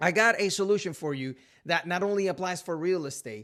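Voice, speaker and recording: In a very clean recording with a silent background, a man with a Puerto Rican accent speaks in a bright, sharp tone. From Puerto Rico. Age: 30s. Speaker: realtor. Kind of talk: casual talk to camera.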